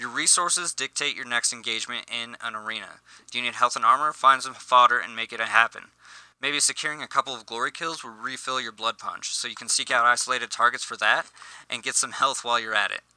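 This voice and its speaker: A man talks at a very fast pace and medium pitch, with a bright, sharp tone and fairly even intonation. His loudness swings widely, and the sound is dry and close with no echo. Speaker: gaming youtuber. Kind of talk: scripted tutorial. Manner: halting, self-correcting.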